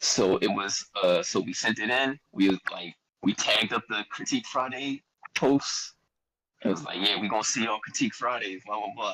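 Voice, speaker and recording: A man with a Philadelphia accent speaks at a moderate pace. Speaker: rapper. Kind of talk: casual podcast interview. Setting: live-streamed podcast. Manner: animated storytelling.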